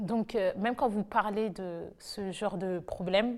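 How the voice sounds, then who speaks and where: A woman with a normal speaking voice, medium pitch, fairly even intonation and a fairly slow pace. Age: 20s. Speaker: nurse. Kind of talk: testimony. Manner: casual.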